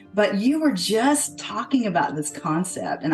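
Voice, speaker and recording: Music plays in the background as a woman speaks at a moderate pace. Her pitch swings very widely. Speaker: podcast host, well-being strategist. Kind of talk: podcast host interview talk.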